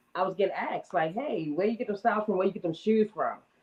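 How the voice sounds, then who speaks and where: The speaker has a slight Northern US accent and ordinary pitch variation. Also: woman. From US Northeast (Baltimore, Maryland and Harlem, New York). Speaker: entrepreneur and shoe stylist. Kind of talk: interview. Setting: live stream.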